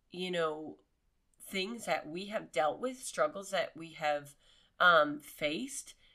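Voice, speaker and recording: A woman with an American accent, bright and sharp in tone, with ordinary pitch variation. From Pennsylvania. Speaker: veteran's wife, podcast co-host. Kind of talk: casual chat. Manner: laughs often.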